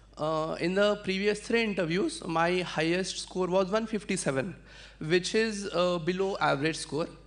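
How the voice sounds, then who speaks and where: The speaker talks at a moderate pace with a Marathi accent. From India, Adilabad, Telangana. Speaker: civil services exam winner. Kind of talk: testimony.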